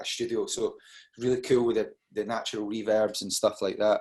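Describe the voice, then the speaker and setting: A man speaking at a fairly quick pace against a quiet background. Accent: Scottish. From Scotland, Dunfermline, Fife. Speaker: rock band singer. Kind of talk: interview.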